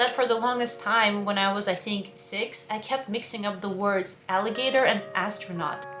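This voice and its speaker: A woman with a slight Russian accent speaks at a moderate pace and fairly high pitch, with ordinary pitch variation. Music plays in the background, and there is audible room echo. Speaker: language-learning YouTuber. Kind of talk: personal vlog storytelling.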